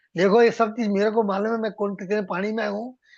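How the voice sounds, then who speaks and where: The background is quiet. A man speaks at a moderate pace in a high voice. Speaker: devotional lecturer. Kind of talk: religious lecture. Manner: humble, folded-hands tone.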